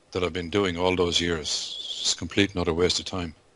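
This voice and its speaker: Noticeable background noise behind a man's very deep, low voice. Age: 60s. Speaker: forex trader. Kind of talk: casual chat. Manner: animated.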